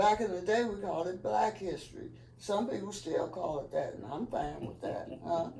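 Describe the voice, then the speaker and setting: Someone with a Kansas City accent talks at a moderate pace, with noticeable background noise and audible room echo. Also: woman. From US Midwest, Kansas City, Kansas. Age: 70s. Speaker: community center founder, former activist. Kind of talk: interview.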